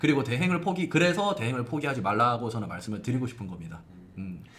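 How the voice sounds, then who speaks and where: A man with a Gyeongsang accent at a very fast pace, very wide pitch swings, and audible room echo. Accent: Gyeongsang dialect, can't lose it. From South Korea, Gyeongsang region (Gimhae). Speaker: hospital blog marketing expert. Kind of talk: live-stream Q&A.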